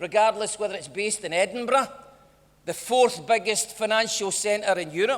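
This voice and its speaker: Over noticeable background noise, a man with a Lanarkshire accent talks in a high pitch with ordinary pitch variation. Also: moderate pace. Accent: Scottish (Lanarkshire). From Motherwell, Scotland. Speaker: politician. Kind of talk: political speech.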